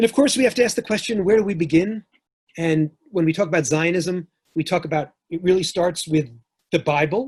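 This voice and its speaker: Heard in a dry, close sound with no echo, a man with a New York accent talks at a fairly quick pace, his high pitch showing ordinary variation. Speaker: historian and professor. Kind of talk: lecture.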